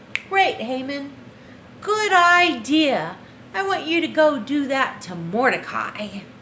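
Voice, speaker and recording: In a put-on character voice, a woman speaks high-pitched at a fairly slow pace with very wide pitch swings, over clear background noise. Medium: read story.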